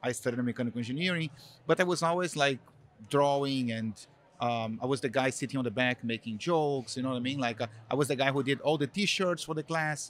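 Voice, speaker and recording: A man with a Brazilian accent at a very fast pace, medium pitch and ordinary pitch variation, on a very clean recording with a silent background. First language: Portuguese. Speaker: marketing executive. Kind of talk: interview. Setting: live event. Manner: hesitant, many fillers.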